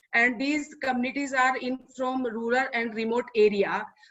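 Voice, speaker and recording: A high-pitched woman with an Indian accent. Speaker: NGO worker. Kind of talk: webinar presentation. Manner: halting, hesitant.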